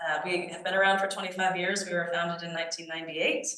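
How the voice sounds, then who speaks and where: A woman's fairly low-pitched voice, with fairly even intonation, carries audible room echo. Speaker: archaeology nonprofit leader giving a talk. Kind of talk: lecture. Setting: society meeting with audience. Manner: halting with fillers.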